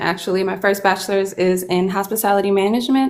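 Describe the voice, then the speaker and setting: A woman with a Chicago accent talks at a fairly quick pace, her voice at a medium pitch and her pitch varying in an ordinary way. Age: 40s. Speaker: chef and early childhood educator. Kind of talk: casual interview.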